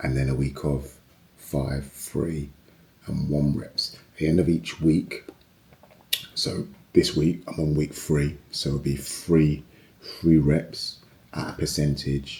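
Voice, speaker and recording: A man talks very slowly in a very deep, low pitch, his dark, mellow tone edged with vocal fry. His intonation is monotone and flat, broken by long, frequent pauses. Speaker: personal trainer. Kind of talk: fitness vlog. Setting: home garage gym. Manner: casual.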